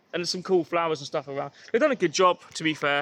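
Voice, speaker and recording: A man with a West Country accent speaks at a very fast pace. The sound is dry and close, with no echo. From Exeter, Devon, south-west England. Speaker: podcast host. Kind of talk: casual chat. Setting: outdoors. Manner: hesitant, filler-heavy.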